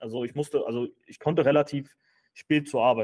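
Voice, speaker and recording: Fairly high-pitched, a man talks at a fairly quick pace. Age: 30s. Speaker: finance content creator and entrepreneur. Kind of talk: casual interview chat. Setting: office. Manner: hesitant with frequent fillers.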